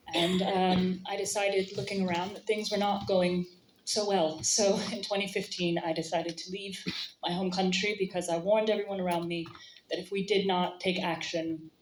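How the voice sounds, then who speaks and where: A woman with an American accent speaks at medium pitch and a fairly quick pace in a monotone, flat intonation. Noticeable background noise is present. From United States. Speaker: audience member speaking at assembly. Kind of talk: audience speech at political meeting.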